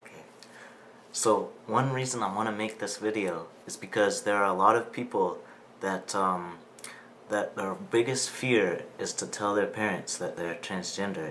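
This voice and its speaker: An ordinary speaking voice at a moderate pace, with fairly even intonation. Its loudness rises and falls in big swings. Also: man, fairly low pitch for a man. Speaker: transgender man. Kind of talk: interviewer, casual conversation.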